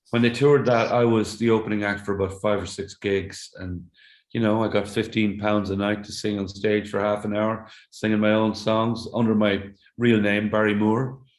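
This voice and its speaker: A man with an Irish accent speaks in a fairly low, flat monotone. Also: moderate pace. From Ireland. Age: 60s. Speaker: singer-songwriter. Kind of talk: interview conversation. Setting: remote call from home. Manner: halting, repeats words.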